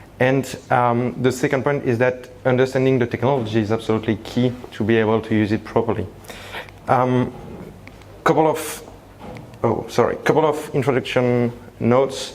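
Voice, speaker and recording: Speaking at a moderate pace with a slight French accent, a man keeps very even loudness and fairly even intonation, leaving long, frequent pauses over noticeable background noise. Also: medium pitch for a man. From France (Paris). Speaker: tech company founder. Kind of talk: conference presentation. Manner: hesitant, many fillers.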